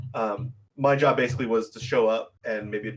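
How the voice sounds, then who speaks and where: Ordinary pitch variation runs through a man's medium-pitched speech. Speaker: podcast guest and game caster. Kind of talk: casual chat. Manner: loud.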